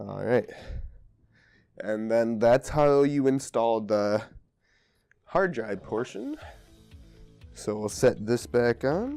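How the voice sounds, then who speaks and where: With music in the background, a man speaks at a medium pitch and ordinary pitch variation, going at a very slow pace with long, frequent pauses. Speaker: computer repair tutorial maker. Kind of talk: tutorial narration. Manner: casual.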